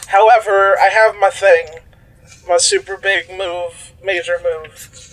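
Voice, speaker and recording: Over noticeable background noise, a man with a high pitch talks very slowly, his intonation fairly even. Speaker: player in role-playing game. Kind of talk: casual tabletop RPG chat.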